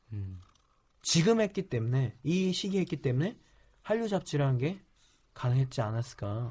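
Speaking at a moderate pace with long, frequent pauses, a man uses a fairly high, somewhat breathy voice of dark, mellow tone that swings very widely in pitch. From South Korea. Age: 20s. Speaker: startup CEO. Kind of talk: interview.

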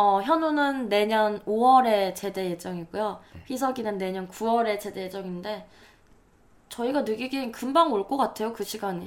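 A woman with a normal speaking voice, fairly high in pitch, at a moderate pace with ordinary pitch variation. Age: 20s. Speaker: podcast co-host, creative writing student. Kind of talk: casual chat.

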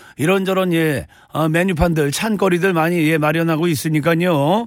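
Here a man speaks at a high pitch. His pace is fairly slow. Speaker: radio DJ. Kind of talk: radio show banter. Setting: studio. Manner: animated.

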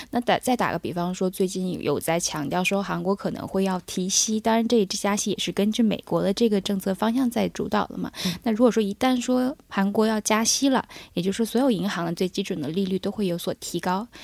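Recorded dry and close with no echo, a woman talks at a fairly quick pace in a medium pitch. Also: ordinary pitch variation, hardly any pauses. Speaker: accounting firm analyst. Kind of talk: radio discussion. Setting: studio. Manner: hesitant, many fillers.

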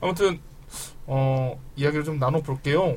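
A man with a fairly high, somewhat breathy voice speaks at a very slow pace. His pitch varies in an ordinary way. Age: 30s. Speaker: podcast host. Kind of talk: casual chat.

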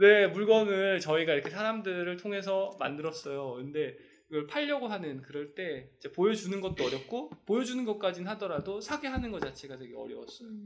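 Against noticeable background noise, a man with a high voice talks at a fairly quick pace, with lively intonation and big swings in loudness. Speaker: fashion brand owner, podcast host. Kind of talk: casual chat. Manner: talkative, fast.

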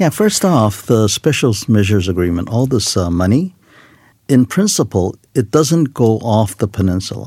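A speaker with a Korean accent uses a dark, mellow tone and lively intonation at a moderate pace. The recording is very clean with a silent background. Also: man, medium pitch for a man. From South Korea. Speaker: retired army general. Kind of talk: studio panel discussion. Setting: studio.

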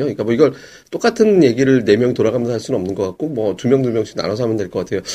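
Dark and mellow in tone, a man talks very fast with ordinary pitch variation. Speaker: stock podcast host. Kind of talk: casual chat. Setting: studio.

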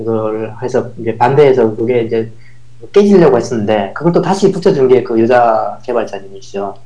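A man speaks amid noticeable background noise. Room echo is audible. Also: medium pitch for a man, lively intonation, moderate pace. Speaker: professor and former software developer. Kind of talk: casual interview chat.

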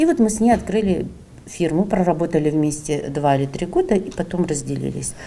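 A woman with a plain, everyday voice talks at a fairly quick pace and a fairly low pitch, with ordinary pitch variation. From Sakhalin, Russia. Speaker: entrepreneur. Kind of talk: interview.

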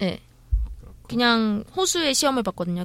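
A woman with a plain, everyday voice and fairly high pitch is heard in a very clean recording with a silent background. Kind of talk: casual chat.

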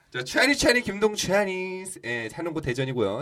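A man at a very fast pace with very wide pitch swings, against noticeable background noise. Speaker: actor. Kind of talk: casual chat. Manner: playful.

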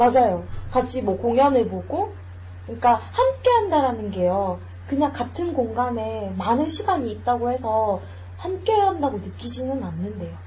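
With noticeable background noise in the mix, the woman keeps a moderate tempo. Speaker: podcast host. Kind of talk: casual chat.

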